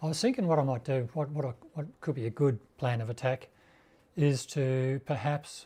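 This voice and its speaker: On a very clean recording with a silent background, a man in an Australian accent has a dark, mellow, somewhat breathy tone, a fairly high pitch and ordinary pitch variation. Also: moderate pace. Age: 60s. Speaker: motorcycle YouTuber. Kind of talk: live stream chat. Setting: home garage live stream. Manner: halting; casual.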